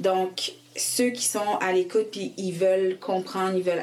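A woman of medium pitch speaks at a very slow pace through noticeable background noise. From Quebec (raised from age 5, born in Haiti). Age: 20s. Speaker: licensed practical nurse and organization co-founder. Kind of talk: interview testimony.

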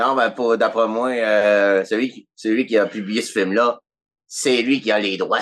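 A man with a Quebec accent speaks at a very slow pace and medium pitch with fairly even intonation against a quiet background. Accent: Québécois French. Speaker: podcast guest. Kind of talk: casual chat.

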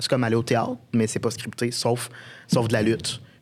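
A normal speaking voice from a man, medium in pitch, at a fairly quick pace. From Quebec, Beauce (Saint-Georges). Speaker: sports journalist. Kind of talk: casual chat.

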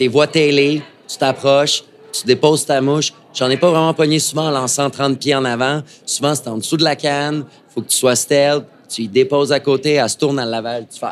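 A man with a fairly high pitch speaks at a moderate pace, his intonation fairly even, while noticeable background noise runs underneath. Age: 30s. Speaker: fly shop owner. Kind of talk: casual interview. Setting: live before audience at a trade show.

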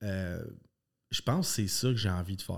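The tone is dark and mellow, moving at a moderate pace with ordinary pitch variation. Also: man. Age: 30s. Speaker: karate school owner and former competitive athlete. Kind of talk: casual interview chat. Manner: animated, passionate.

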